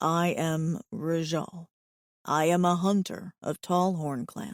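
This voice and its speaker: A woman puts on a character voice, quiet and fairly low-pitched. She goes at a fairly slow pace. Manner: calm, purring.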